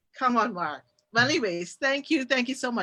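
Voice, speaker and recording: A woman's bright, sharp voice with lively intonation, over a quiet background. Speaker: talk show host. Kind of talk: interview talk show. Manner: fast; animated.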